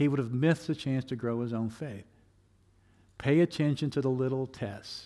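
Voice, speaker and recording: Recorded very cleanly with a silent background, a man speaks in a plain, everyday voice at a moderate pace with ordinary pitch variation. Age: 60s. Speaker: pastor. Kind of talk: sermon. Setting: church.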